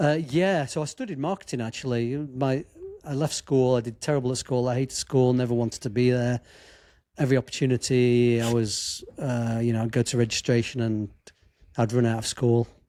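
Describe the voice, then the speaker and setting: A man's medium-pitched, dark, mellow voice with a Derbyshire accent, fairly even intonation and a fairly quick pace. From English Midlands, Chesterfield. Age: 50s. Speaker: sports photographer and filmmaker. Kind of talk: podcast interview.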